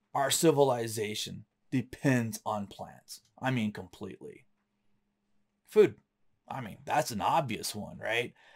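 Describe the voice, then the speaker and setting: Against a quiet background, a man of medium pitch speaks at a fairly slow pace with long, frequent pauses, ordinary pitch variation, and big swings in loudness. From US South, North Florida. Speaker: science educator. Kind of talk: lecture. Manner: casual. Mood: relaxed, enthusiastic.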